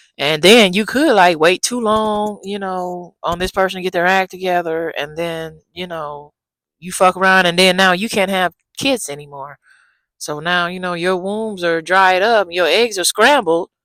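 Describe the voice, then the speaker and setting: A soft-spoken woman talks at medium pitch and a moderate pace, her pitch varying in an ordinary way. It's a very clean recording with a silent background. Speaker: dating advice vlogger. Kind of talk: casual advice vlog. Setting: outdoors in backyard. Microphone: new small clip-on mic.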